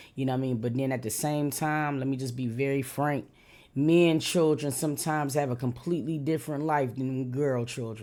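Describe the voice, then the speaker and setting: A woman speaks fairly quickly in a dark, mellow tone at a very deep, low pitch. The recording is very clean, with a silent background. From Detroit, US. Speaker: YouTube reaction commentator. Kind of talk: reaction commentary. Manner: animated.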